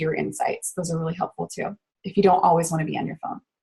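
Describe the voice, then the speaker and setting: Her voice is somewhat breathy, coming from a woman. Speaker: network marketer giving social media training. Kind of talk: online training webinar. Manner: fast; casual, filler-heavy.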